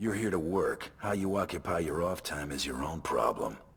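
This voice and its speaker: Using a put-on character voice, a man speaks at a moderate pace in a very deep, low pitch. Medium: video game. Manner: dry, terse.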